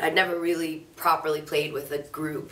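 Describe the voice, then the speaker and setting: Words tumble out at a very fast pace amid noticeable background noise. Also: woman. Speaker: singer-songwriter. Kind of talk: interview answer. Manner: casual, chatty.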